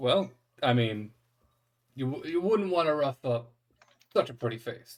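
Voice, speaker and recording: A man puts on a gruff character voice at a medium pitch, speaking at a moderate pace. He leaves long, frequent pauses. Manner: flirty.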